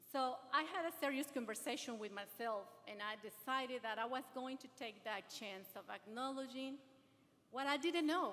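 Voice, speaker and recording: A high-pitched woman's voice with big swings in loudness against noticeable background noise. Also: ordinary pitch variation, moderate pace. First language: not English. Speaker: adult education graduate and speaker. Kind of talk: ceremony speech, partly read aloud. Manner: halting.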